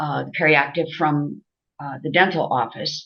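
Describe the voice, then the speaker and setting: A woman speaks at a very deep, low pitch. Her pace is fairly slow. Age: 70s. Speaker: customer giving testimonial. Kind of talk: testimonial interview. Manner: hesitant, many fillers.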